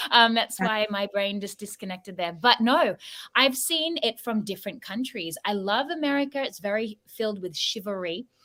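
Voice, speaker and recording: In an Australian accent, a woman speaks at a moderate pace with a bright, sharp tone, a fairly high pitch and lively intonation. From Sydney, Australia. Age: 30s. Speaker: podcast co-host. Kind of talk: casual panel discussion.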